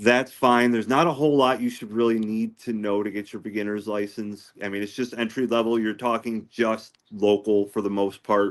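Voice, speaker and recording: Against a quiet background, a man with a plain, everyday voice speaks at a medium pitch and a moderate pace with fairly even intonation and hardly any pauses. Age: 40s. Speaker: ham radio hobbyist. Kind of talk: casual chat.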